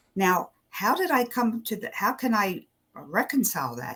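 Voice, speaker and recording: At a moderate pace, a woman speaks in a fairly high pitch. Her pitch swings are very wide. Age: 70s. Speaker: spiritual teacher and coach. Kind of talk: interview.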